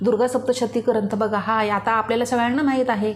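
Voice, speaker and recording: Noticeable background noise sits behind a woman's voice. She speaks fairly high in pitch with monotone, flat intonation. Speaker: devotional YouTuber. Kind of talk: religious tutorial. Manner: informal.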